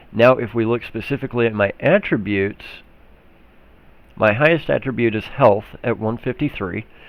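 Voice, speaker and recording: At a moderate pace, a man speaks at a medium pitch with an Oklahoma accent. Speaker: gaming YouTuber. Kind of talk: gameplay tutorial. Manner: casual, with fillers.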